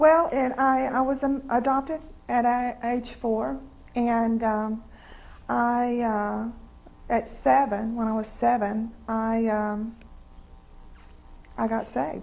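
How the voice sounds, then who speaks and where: Someone with a Southern US accent talks at a very slow pace, with long, frequent pauses and fairly even intonation, in audible room echo. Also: woman, fairly high pitch for a woman. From North Carolina, US South. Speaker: interviewee sharing faith story. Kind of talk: testimony. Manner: halting.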